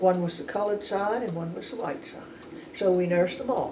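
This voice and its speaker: With a New Orleans accent, a woman speaks at a medium pitch amid audible room echo and noticeable background noise. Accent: New Orleans Southern US. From New Orleans, Louisiana. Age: 90s. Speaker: retired nurse. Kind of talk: oral history interview. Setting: at her home. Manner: halting, many restarts.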